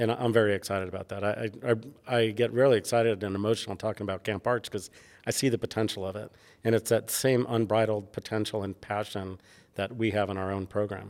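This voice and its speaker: In an American accent, a man with a fairly low pitch speaks at a very fast pace with monotone, flat intonation on a very clean recording with a silent background. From New York (Bronx). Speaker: architecture professor and department head. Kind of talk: interview.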